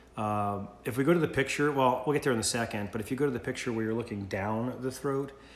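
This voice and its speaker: There is audible room echo as a man speaks. He goes at a fairly quick pace with fairly even intonation. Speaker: college instructor. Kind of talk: recorded lecture. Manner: loud; casual, halting with fillers.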